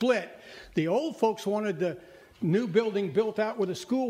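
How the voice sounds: The voice is a natural reading voice. Pitch moves in an ordinary way.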